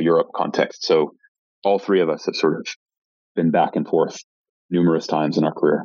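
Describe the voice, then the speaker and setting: The speaker is a man with a Canadian accent. He talks at a fairly quick pace. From Canada, Vancouver. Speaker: search fund investor. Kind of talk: interview conversation.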